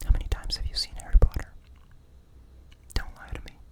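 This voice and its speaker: The speaker whispers. Noticeable background noise sits behind the voice. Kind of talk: ASMR roleplay, whispered personality test. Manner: whispered, soft-spoken.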